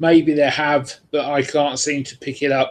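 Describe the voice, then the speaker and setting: With a British accent, a man speaks at a fairly high pitch in monotone, flat intonation. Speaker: vinyl collector vlogger. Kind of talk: live stream monologue. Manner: hesitant, many fillers.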